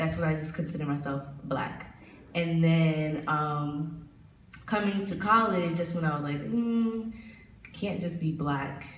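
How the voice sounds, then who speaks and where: Noticeable background noise and audible room echo fill the recording. The speech moves at a fairly slow pace with ordinary pitch variation. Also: woman, very deep, low pitch for a woman. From US South, moved from New York in sixth grade. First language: Spanish. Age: 20s. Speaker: college student. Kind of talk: panel discussion.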